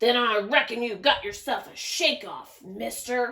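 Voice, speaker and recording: Using a put-on character voice, a woman growls at a fairly high pitch, keeping a moderate pace and ordinary pitch variation. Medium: read story. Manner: growling, belching.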